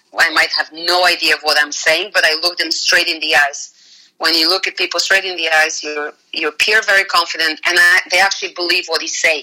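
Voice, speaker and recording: Fairly quick, fairly low-pitched speech from a woman with a Russian accent, fairly even intonation, and hardly any pauses. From Bulgaria. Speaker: finance executive. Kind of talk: casual interview chat.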